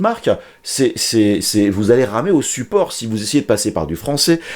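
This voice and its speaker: This man's medium-pitched voice moves at a fairly quick pace and swings very widely in pitch. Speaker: YouTuber, maker tutorial creator. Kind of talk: casual vlog monologue. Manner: fast, swallows words; many fillers and repetitions.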